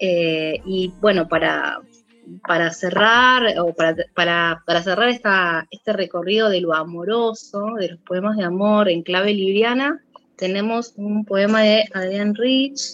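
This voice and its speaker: Very slowly, a woman talks in a voice of medium pitch. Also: ordinary pitch variation. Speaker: podcast co-host and poet. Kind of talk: podcast chat, with a poem read aloud. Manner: warm, conversational, expressive, with a steady, intimate reading pace for the poem.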